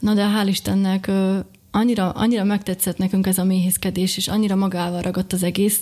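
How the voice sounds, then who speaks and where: Somewhat breathy and dark, mellow in tone, a woman speaks at a medium pitch and a fairly quick pace with monotone, flat intonation. Her loudness stays very even, and the recording is very clean with a silent background. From Slovakia, Bodrogköz (Hungarian minority). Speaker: beekeeper and small business owner. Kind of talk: interview.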